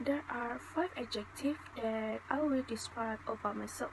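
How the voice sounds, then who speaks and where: Against noticeable background noise, a woman speaks at a fairly slow pace. Her pitch is fairly high, with ordinary variation. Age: 20s. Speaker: student. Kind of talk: mock job interview. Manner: formal.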